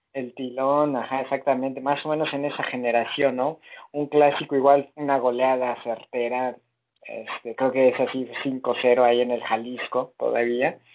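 Male voice at medium pitch, monotone and flat, at a fairly slow pace. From Mexico. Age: 40s. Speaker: football fan. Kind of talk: casual chat.

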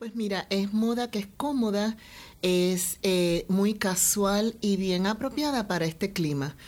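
The woman speaks at a very slow pace. Her medium-pitched voice shows ordinary pitch variation. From Puerto Rico. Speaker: fashion designer and boutique owner. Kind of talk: interview.

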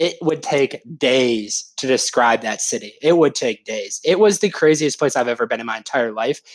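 Hardly pausing at all, a man with an unremarkable speaking voice and fairly high pitch talks at a moderate pace with lively intonation. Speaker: sports fan engagement staffer. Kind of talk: casual chat.

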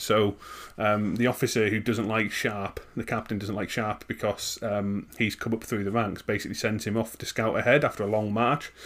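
A man with a northern English accent and a fairly low voice talks at a moderate pace in a monotone, flat intonation. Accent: soft northern English. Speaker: podcast host. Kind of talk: casual chat.

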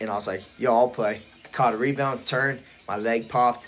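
With a Midwestern American accent, a man speaks at a fairly quick pace and a medium pitch. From rural Ohio. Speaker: powerlifter. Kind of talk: casual chat.

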